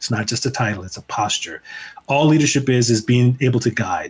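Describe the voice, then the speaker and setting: A man with a strong Chicago accent at a fairly quick pace. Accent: Chicago, still strong. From Chicago, US Midwest. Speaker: leadership speaker and author. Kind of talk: casual interview chat. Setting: remote from home.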